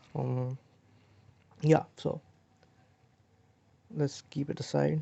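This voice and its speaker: A man speaks at a very slow pace with a non-native accent. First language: not English. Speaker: crypto trading analyst. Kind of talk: technical analysis tutorial. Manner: halting, many fillers and restarts.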